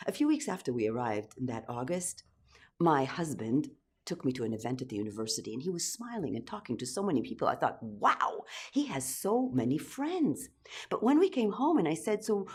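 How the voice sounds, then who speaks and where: A woman with vocal fry and very wide pitch swings, talking at a fairly quick pace on a very clean recording with a silent background. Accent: Israeli. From Israel. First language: Hebrew. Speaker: storyteller. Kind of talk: personal story performance.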